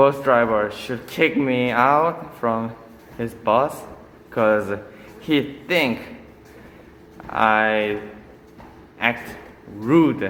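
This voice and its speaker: Amid audible room echo, a man with a Korean accent talks very slowly at a medium pitch, with long, frequent pauses and ordinary pitch variation. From South Korea, Busan. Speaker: vlogger. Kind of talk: casual vlog monologue. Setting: on a treadmill at a gym. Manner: halting.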